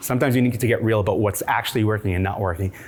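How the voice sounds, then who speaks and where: Amid noticeable background noise, a man speaks at a very fast pace with a medium pitch. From immigrant from a war-torn country. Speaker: startup founder and CEO. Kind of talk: conference talk.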